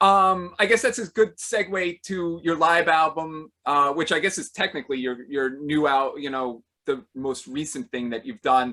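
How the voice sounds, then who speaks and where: The voice is loud with a bright, sharp tone and lively intonation, moving at a moderate pace with hardly any pauses over a very clean recording with a silent background. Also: man, fairly high pitch for a man. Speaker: podcast host. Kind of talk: casual interview.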